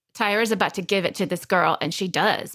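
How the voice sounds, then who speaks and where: Speaking at a very fast pace, a woman has a medium pitch and a slight Texas accent. The recording is very clean, with a silent background. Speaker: actress and podcast co-host. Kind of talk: casual chat.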